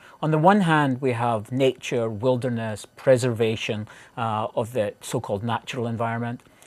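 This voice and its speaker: This man has a Scottish accent and a medium pitch. He talks at a moderate pace with ordinary pitch variation over a quiet background. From Scotland (central). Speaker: professor. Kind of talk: interview. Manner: halting.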